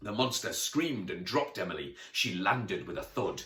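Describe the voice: Simple, plain reading aloud.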